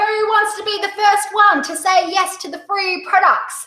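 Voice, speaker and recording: With an Australian accent, a woman talks in a raised, projected voice at a moderate pace. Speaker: direct sales coach. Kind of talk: webinar presentation. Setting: online webinar. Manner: animated.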